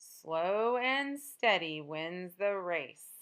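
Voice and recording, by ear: Delivered at a very slow pace, this put-on character voice has a fairly bright, clear, smooth tone and lively intonation. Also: woman, fairly low pitch for a woman.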